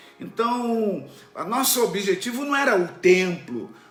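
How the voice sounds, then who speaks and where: A man's lively, up-and-down intonation, with audible room echo and noticeable background noise. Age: 60s. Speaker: pastor. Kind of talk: sermon. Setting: online church stream.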